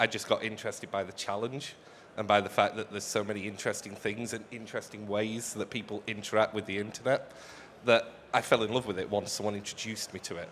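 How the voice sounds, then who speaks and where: Speaking very fast in a British accent, the man keeps a fairly low pitch and a flat, monotone intonation. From UK. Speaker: accessibility consultant. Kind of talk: live panel chat. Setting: stage with audience.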